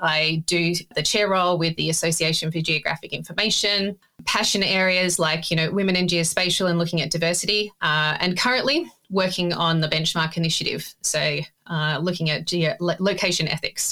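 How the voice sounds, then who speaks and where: A woman with an Australian accent at a moderate pace, very even in loudness and with hardly any pauses. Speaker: data ethics expert. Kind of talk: casual interview conversation.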